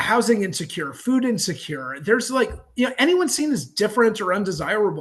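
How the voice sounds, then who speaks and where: Lively intonation marks a man's high-pitched voice. He speaks at a moderate pace over a quiet background. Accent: Californian. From Los Angeles, California. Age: 50s. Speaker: counselor and community organizer. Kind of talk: casual interview chat.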